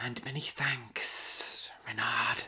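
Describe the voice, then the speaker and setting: A man whispers in a put-on character voice. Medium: read story. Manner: brisk, commanding.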